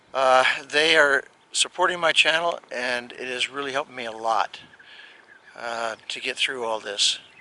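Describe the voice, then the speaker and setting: Amid noticeable background noise, a man speaks at a fairly slow pace with ordinary pitch variation and big swings in loudness. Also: medium pitch for a man. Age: 70s. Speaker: retired RV vlogger. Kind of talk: casual vlog narration. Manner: halting, many fillers.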